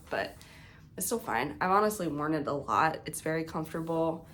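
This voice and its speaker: A woman's very deep, low voice with ordinary pitch variation and audible room echo. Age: 30s. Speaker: knitting podcaster. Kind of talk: casual show-and-tell vlog. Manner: casual, many filler words.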